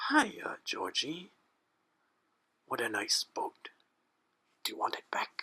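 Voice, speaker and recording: A raspy, put-on character voice at an extremely high pitch moves at a fairly slow pace with long, frequent pauses. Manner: goofy, friendly.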